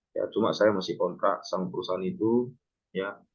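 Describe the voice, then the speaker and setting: A man is talking. His pace is fairly quick. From North Sumatra, Pematang Siantar. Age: 30s. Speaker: ship captain and maritime lecturer. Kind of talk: online class introduction. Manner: casual, filler-heavy.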